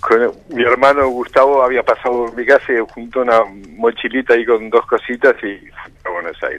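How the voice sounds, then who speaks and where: A man of medium pitch talks at a fairly quick pace with fairly even intonation and big swings in loudness. The sound is dry and close, with no echo. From Uruguay, Montevideo. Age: 60s. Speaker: interview guest, former political exile. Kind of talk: radio interview testimony. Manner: hesitant, many fillers.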